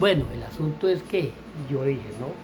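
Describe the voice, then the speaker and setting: A man speaks at a fairly slow pace with a fairly high pitch. Audible room echo and noticeable background noise surround him. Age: 60s. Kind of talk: personal testimony. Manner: halting, with many repetitions and self-corrections.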